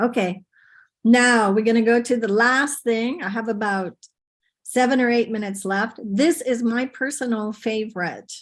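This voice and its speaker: At a moderate pace, a woman talks in an ordinary speaking voice with a fairly high pitch and ordinary pitch variation. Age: 60s. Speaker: conference presenter, teacher trainer. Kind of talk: webinar presentation. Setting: video call. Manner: informal.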